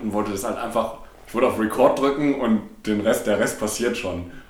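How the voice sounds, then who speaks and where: A man's fairly even intonation in a room with audible echo. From Ruhr area, Germany (Bochum). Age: 20s. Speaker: podcast co-host. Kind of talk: casual chat. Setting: living room used as home studio.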